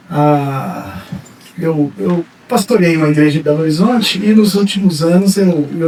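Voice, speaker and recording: Male speech at a moderate pace with ordinary pitch variation, over noticeable background noise. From Brazil, Minas Gerais. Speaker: pastor and psychologist. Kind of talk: sermon. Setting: church. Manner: halting, many fillers.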